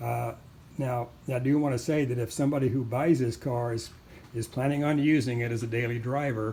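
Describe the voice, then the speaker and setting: Somewhat breathy and dark, mellow in tone, a man talks at a fairly quick pace with fairly even intonation. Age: 70s. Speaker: car owner selling his car. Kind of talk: walkaround video tutorial. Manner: halting, many fillers.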